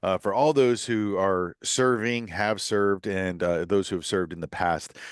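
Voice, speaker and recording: Against a quiet background, a man with an American accent and an ordinary speaking voice talks at a fairly quick pace, fairly low in pitch with ordinary pitch variation. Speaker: podcast host. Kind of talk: podcast monologue.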